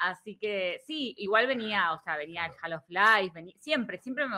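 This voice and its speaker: An unremarkable speaking voice from a woman, lively in intonation, at a moderate pace. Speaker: writer and political scientist. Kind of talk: casual chat.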